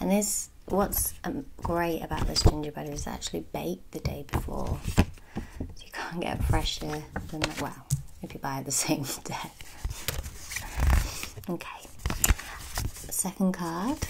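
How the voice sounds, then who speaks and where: Whispering in a relaxed tone, a woman leaves long, frequent pauses. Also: fairly slow pace. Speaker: ASMR creator. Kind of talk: ASMR unboxing video. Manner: soft-spoken, relaxed. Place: home room. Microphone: phone near.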